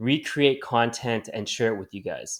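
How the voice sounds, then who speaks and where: Recorded very cleanly against a silent background, an ordinary speaking voice with a Canadian accent moves at a moderate pace with ordinary pitch variation. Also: man. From Canada. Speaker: cannabis community manager. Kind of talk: video presentation.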